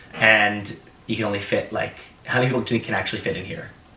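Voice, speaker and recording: Noticeable background noise sits under a man speaking at a very fast pace. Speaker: podcast host. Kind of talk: casual interview chat. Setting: New York apartment. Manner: loud.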